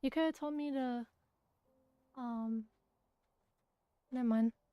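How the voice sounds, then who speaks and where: A woman speaks loudly in a dark, mellow tone with ordinary pitch variation, the sound dry and close with no echo. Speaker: streamer. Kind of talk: casual chat.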